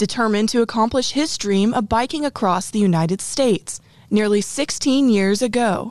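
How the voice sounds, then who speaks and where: At a moderate pace, a woman with a plain, everyday voice speaks at a fairly high pitch with ordinary pitch variation against a quiet background. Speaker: podcast host. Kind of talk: scripted intro and outro.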